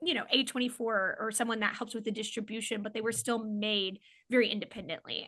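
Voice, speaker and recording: A woman with a slight Oklahoma accent speaks very fast in a fairly high, bright, sharp voice with fairly even intonation. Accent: slight Oklahoma accent on certain words. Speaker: comedian and filmmaker. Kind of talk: casual chat. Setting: podcast interview.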